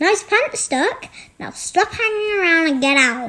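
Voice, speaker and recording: The put-on character voice is squeaky, with very wide pitch swings and big swings in loudness. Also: woman. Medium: read story. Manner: confident, playful.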